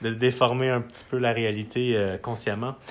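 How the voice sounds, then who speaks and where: In a monotone, flat intonation, a man speaks fairly slowly. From Quebec, Matane. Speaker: musician. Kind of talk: casual chat. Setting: his home studio. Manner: halting, many repetitions.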